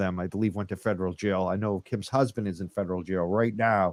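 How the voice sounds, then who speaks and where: A man speaks with a Northern US accent. The recording is very clean, with a silent background. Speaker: podcast host. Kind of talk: live podcast chat.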